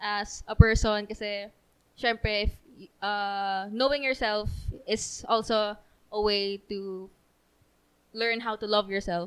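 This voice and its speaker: A woman's medium-pitched voice, very slow, with long and frequent pauses, flat monotone intonation, big swings in loudness, and a very clean recording over a silent background. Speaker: church youth member. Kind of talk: casual chat.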